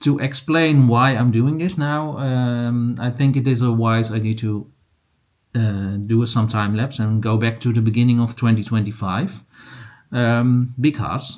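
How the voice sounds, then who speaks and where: The speaker has a Dutch accent and talks at a very slow pace. Pitch moves in an ordinary way. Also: man. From Netherlands. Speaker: crochet and yarn vlogger. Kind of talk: casual vlog. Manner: halting, many fillers.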